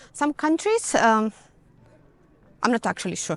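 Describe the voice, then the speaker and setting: Talking at a moderate pace in a Greek accent, a woman sounds dry and close, with no echo. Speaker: travel vlogger. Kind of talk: walking tour vlog. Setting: outdoors, walking with dog. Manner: casual, hesitant with fillers.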